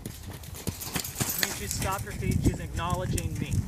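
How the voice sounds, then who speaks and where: The speaker is a man. Noticeable background noise and audible room echo fill the recording. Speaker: horse trainer. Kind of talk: live demonstration.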